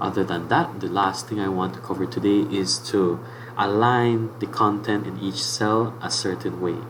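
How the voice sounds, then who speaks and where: With a fairly low pitch and ordinary pitch variation, a man talks at a moderate pace. Audible room echo and noticeable background noise fill the recording. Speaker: teacher. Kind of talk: tutorial. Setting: live online class.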